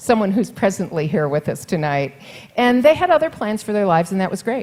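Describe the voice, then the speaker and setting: Her pitch medium, a woman speaks with very wide pitch swings. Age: 60s. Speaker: mayoral candidate. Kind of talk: campaign speech at forum. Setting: forum with live audience.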